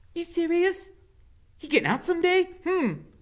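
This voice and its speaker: Using a put-on character voice, a man sounds squeaky at an extremely high pitch while keeping a moderate pace. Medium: read story. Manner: excitable, stammering, coarse.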